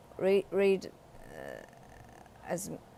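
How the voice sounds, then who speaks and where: Here a woman speaks at a very slow pace. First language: Chinese. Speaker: English learner reading aloud on own channel. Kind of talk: reading aloud; casual reflection. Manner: halting, with hesitations and repeated words; hesitant with fillers.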